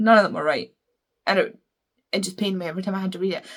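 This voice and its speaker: Somewhat breathy, a woman talks with a Scottish accent. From Scotland. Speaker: book reviewer. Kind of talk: casual chat. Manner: fast.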